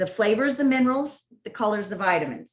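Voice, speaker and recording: Fairly high-pitched woman's voice with an American accent, lively intonation and some breathiness. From California (San Diego). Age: 50s. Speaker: healthy cooking educator. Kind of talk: networking presentation with cooking demo.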